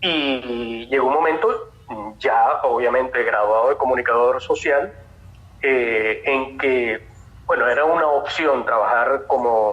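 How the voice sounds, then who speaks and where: Speaking at a very slow pace, a man keeps a medium pitch, fairly even intonation and very even loudness. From Venezuela. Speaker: voice actor; football commentator. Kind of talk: interview answer.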